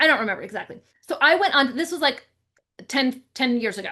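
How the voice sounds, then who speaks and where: A woman speaks at a fairly quick pace in an animated, bright and sharp tone, her intonation lively. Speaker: real estate marketing coach. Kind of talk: webinar sales pitch. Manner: fast.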